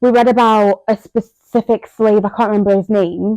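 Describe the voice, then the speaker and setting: A woman's dark, mellow tone in a monotone, flat intonation, with a dry, close sound and no echo. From Zambia, also schooled in England. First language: a Zambian language. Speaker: podcast co-host and content creator. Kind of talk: casual chat.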